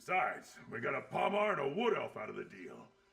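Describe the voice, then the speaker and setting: A man talks in a put-on character voice. It is raspy and moves at a moderate pace. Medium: video game. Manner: gruff, coarse.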